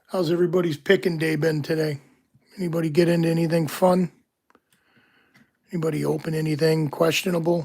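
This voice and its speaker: A very fast pace broken by long, frequent pauses. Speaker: locksport streamer. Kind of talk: live stream commentary. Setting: home, live stream. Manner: soft-spoken; hesitant, many fillers.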